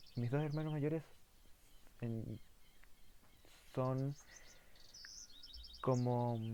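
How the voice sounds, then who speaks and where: Very slowly, a man speaks at medium pitch with fairly even intonation and a dark, mellow tone. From southern Chile. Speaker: philosophy YouTuber. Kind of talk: casual monologue. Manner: halting, many fillers.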